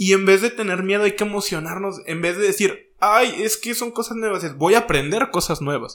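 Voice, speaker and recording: A man speaks at a high pitch and a moderate pace. He leaves hardly any pauses, and his pitch varies in an ordinary way. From northern Mexico. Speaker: podcast host. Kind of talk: casual chat.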